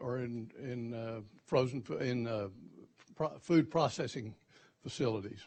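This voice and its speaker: A man with a Texan accent, at a fairly slow pace and with fairly even intonation. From Texas. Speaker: company CEO, panelist. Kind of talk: panel talk. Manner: halting, many repeated words.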